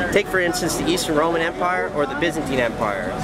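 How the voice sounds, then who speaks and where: Loud background noise surrounds a man's dry sound with no echo. He speaks at a very fast pace. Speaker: interviewee. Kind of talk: interview answer. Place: street. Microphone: phone near.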